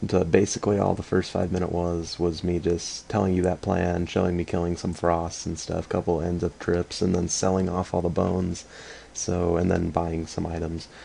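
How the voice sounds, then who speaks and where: With a very deep, low pitch and a dark, mellow tone, a man speaks in a monotone, flat intonation. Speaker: gaming video creator. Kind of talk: gameplay commentary. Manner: fast; casual, halting with fillers.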